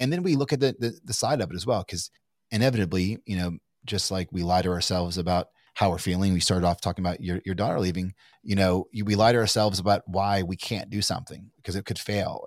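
Talking at a very fast pace, a man with an American accent has a fairly low voice. The sound is dry and close with no echo, in a very clean recording with a silent background. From Kentucky, US. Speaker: entrepreneur. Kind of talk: casual interview. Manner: halting, many fillers and restarts.

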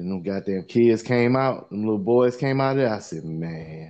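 An animated man with a Carolinas accent. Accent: Southern US (Carolinas). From US South, Lancaster, South Carolina. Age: 40s. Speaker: podcast co-host. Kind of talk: casual chat. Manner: animated, laughing.

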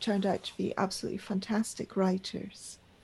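Somewhat breathy and monotone with flat intonation, a woman speaks at a fairly quick pace. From Pakistan. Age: 50s. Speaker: magazine editor. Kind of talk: interview. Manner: halting.

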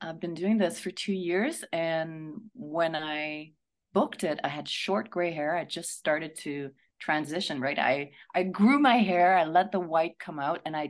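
A woman speaks with a Quebec French accent at a fairly low pitch. The background is quiet. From Quebec, Montreal. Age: 50s. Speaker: actress. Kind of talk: radio interview.

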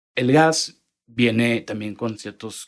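This man has an ordinary speaking voice. His pitch sits in the medium range with ordinary variation. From Monterrey, northern Mexico. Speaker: petrochemical industry strategy manager. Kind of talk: interview.

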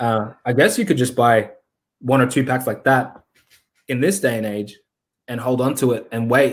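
With an Australian accent, a man at a medium pitch speaks with long, frequent pauses. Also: ordinary pitch variation, moderate pace. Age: 30s. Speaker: Pokemon card investor and YouTuber. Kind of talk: casual interview chat.

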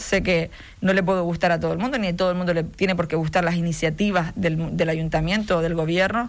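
A woman's fairly low, monotone, flat voice at a very fast pace, with audible room echo. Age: 40s. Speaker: mayor and politician. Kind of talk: radio interview. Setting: radio studio.

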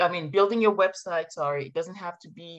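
With a French accent, a woman speaks at a fairly low pitch. Her pitch varies in an ordinary way. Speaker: marketing consultant, former professor. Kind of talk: interview podcast.

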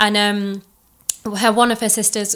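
In an East Midlands accent, a woman speaks at a moderate pace and medium pitch, her tone bright and sharp and her intonation flat and monotone. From Chesterfield, England. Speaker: recent law graduate and content creator. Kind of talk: casual interview. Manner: hesitant, with many fillers.

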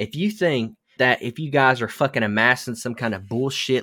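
A man with an American accent speaks at a fairly slow pace, medium in pitch with ordinary pitch variation. It is a plain, everyday voice on a very clean recording with a silent background. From US South. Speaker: podcast host. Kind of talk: casual chat.

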